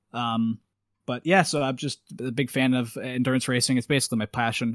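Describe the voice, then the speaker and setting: In a Canadian accent, a man with an unremarkable speaking voice talks at a fairly quick pace with fairly even intonation, in a dry, close sound with no echo on a very clean recording with a silent background. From Canada. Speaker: guest, race marshal. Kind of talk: casual chat.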